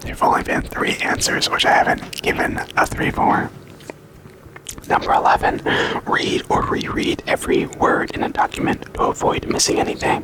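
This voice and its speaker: Whispering against noticeable background noise. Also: moderate pace. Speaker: ASMR creator. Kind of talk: ASMR rambling and self-rated questionnaire. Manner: repetitive, stumbling over words.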